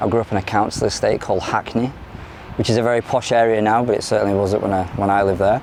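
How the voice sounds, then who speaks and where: A man talks at a very fast pace in a fairly low, monotone voice with flat intonation and very even loudness, over noticeable background noise. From London, moved to South Yorkshire at ten. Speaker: former addict in recovery, academic researcher. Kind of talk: interview testimony. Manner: hesitant, many fillers.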